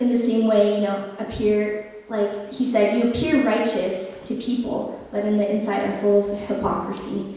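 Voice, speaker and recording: Strong room echo surrounds the recording. The woman's voice sits at a medium pitch. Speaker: preacher. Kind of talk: sermon, personal testimony. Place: church.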